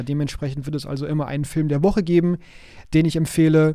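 An unremarkable speaking voice with fairly even intonation. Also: man. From Hamburg, northern Germany. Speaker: podcast host, IT consultant. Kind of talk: solo podcast monologue.

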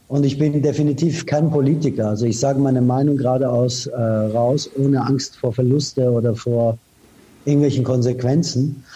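A man speaks at a moderate pace, somewhat breathy, in a dark, mellow tone. His loudness stays very even and his intonation fairly even. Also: medium pitch for a man. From Iran, raised in Austria from age 15. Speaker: advertising executive. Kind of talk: interview. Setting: remote call. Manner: direct.

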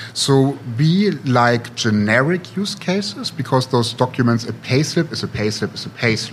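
A man speaks with a German accent at a medium pitch and a moderate pace, his intonation lively. Noticeable background noise sits behind him. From Germany, Potsdam. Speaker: tech startup CEO. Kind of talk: interview.

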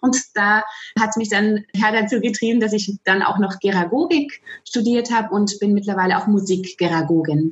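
A woman with an ordinary speaking voice talks at a moderate pace in a medium pitch, with ordinary pitch variation and very even loudness. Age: 40s. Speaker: music educator. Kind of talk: interview.

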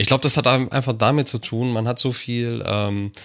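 At medium pitch and with fairly even intonation, a man speaks in an unremarkable speaking voice. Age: 40s. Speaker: podcast co-host and producer. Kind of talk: casual chat.

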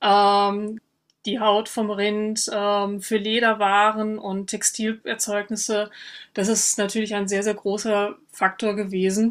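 A very slow pace and monotone, flat intonation on a very clean recording with a silent background. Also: woman, medium pitch for a woman. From western Germany (North Rhine-Westphalia). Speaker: historian. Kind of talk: interview. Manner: frequent filler hesitations (ähm).

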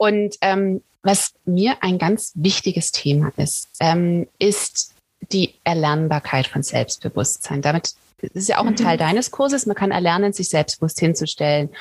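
Somewhat breathy speech at a fairly slow pace, with ordinary pitch variation and a dry, close sound with no echo. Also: woman, fairly low pitch for a woman. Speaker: podcast host. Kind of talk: interview. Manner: laughs often.

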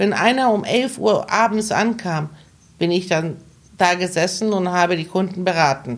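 A woman with an unremarkable speaking voice, medium pitch, lively intonation and a moderate pace. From Hamburg, northern Germany (born in Iran). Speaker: travel agent. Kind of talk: interview conversation.

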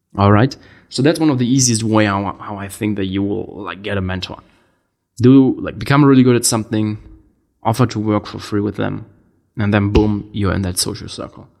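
A man with a German accent, fairly low in pitch, at a fairly quick pace and with ordinary pitch variation. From Germany. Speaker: entrepreneur podcast host. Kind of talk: casual monologue.

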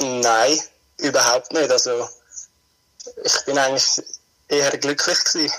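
A man speaks fairly slowly with long, frequent pauses. His loudness stays very even. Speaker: guest. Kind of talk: casual chat.

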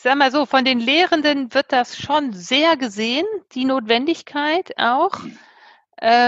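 The woman's pitch is high. She speaks at a very slow pace with lively intonation. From Germany, Bremen. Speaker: university president. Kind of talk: casual interview.

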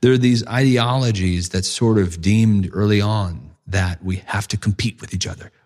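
In an American accent, a man uses a normal speaking voice at a moderate pace with ordinary pitch variation. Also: fairly low pitch for a man, hardly any pauses. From United States. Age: 50s. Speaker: ethics of technology advocate. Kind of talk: casual conversation. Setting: in-person in a library-like room.

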